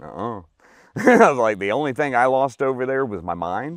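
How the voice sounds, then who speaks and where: Vocal fry and very wide pitch swings, with a dry, close sound, no echo, and a very clean recording with a silent background. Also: man. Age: 40s. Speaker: army veteran. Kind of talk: testimony.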